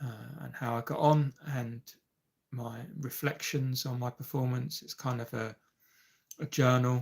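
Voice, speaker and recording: A somewhat breathy man speaks at a fairly slow pace in a monotone, flat intonation. He leaves long, frequent pauses. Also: medium pitch for a man. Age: 50s. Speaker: amateur golfer and YouTube live streamer. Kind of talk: casual live-stream chat. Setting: live stream. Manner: hesitant, many fillers.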